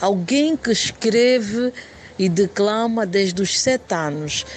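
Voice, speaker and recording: Very slow speech from a woman at a medium pitch, with ordinary pitch variation. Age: 40s. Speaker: poet and spoken-word performer. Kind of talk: interview. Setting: WhatsApp call.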